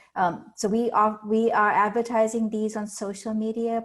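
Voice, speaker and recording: Moderate pace from a woman with an Indian accent, over a quiet background. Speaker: learning center staff. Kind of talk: presentation. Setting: video call.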